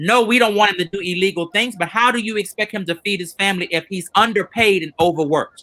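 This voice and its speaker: A raised, projected voice with a bright, sharp tone, ordinary pitch variation and a very fast pace. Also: man. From Louisiana. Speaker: educator, former school principal. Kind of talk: panel discussion.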